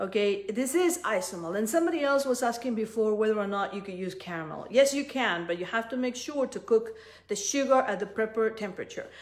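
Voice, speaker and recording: With a Spanish accent, a woman talks at a very fast pace, her fairly high pitch carried by lively intonation. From Peru. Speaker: cookie decorating instructor. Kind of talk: live tutorial. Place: kitchen. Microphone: phone near.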